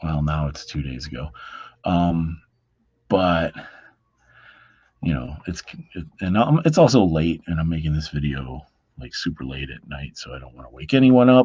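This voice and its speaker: Quiet and dark, mellow in tone, a man speaks at a very deep, low pitch with lively intonation, big swings in loudness and long, frequent pauses. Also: moderate pace. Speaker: comic book reviewer. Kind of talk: casual video review. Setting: home at night, others asleep. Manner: quiet, low voice; hesitant, many fillers.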